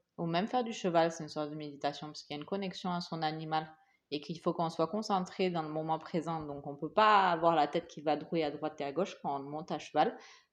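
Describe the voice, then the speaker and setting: At a very fast pace, a woman with a slight non-native accent speaks at a very deep, low pitch with ordinary pitch variation and big swings in loudness. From Asia. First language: English (speaking French). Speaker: podcast co-host. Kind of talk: casual chat. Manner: halting.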